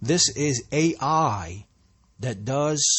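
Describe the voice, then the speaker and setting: A man with a New Jersey accent speaks in a somewhat breathy voice. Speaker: podcaster and hip hop artist. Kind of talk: solo monologue. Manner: halting, many repeats and restarts.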